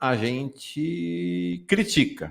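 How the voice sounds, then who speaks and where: Silence fills the background of this very clean recording. Here a man's pitch swings very widely. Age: 60s. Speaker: journalist interviewer. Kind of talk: live interview.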